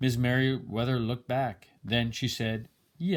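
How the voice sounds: The delivery comes in a natural reading voice. Nothing else is added.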